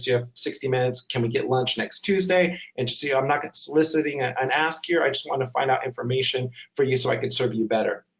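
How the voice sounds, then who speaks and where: A man with a fairly high pitch talks at a very fast pace in a somewhat breathy voice. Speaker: webinar presenter on digital fundraising. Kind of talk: webinar presentation. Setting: online webinar.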